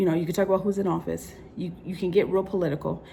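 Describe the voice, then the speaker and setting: A woman with an American accent and ordinary pitch variation. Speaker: vlogger. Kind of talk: personal vlog monologue. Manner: fast.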